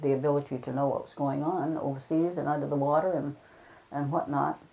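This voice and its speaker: The voice carries a New England accent and a dark, mellow tone. The pace is moderate. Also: woman. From Chatham, Cape Cod, Massachusetts. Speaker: retired school principal. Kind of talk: oral history interview answer.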